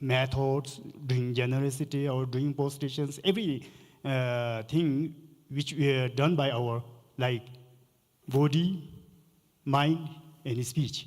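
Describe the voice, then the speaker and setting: Speaking at a very slow pace with long, frequent pauses, a man uses a fairly high pitch and fairly even intonation. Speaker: Buddhist lama, panelist. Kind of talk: panel discussion.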